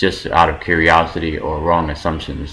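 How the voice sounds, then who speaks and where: A man with an American accent speaks at a moderate pace in a very deep, low voice. Noticeable background noise and audible room echo fill the recording. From New York, US East Coast. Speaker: vlogger, film worker in China. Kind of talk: casual vlog monologue.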